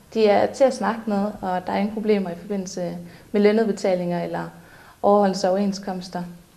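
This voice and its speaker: With a dark, mellow tone, a woman speaks at medium pitch and a moderate pace in a flat monotone, with audible room echo. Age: 20s. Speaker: cleaning company employee. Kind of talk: employee testimonial interview.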